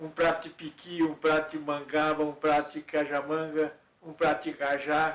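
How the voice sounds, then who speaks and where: This man's voice sits fairly high and stays monotone, with flat intonation. His pace is moderate, but his loudness swings widely. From Goiás, central Brazil. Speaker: painter and retired art teacher. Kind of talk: interview, personal reminiscence. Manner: halting, with repetitions.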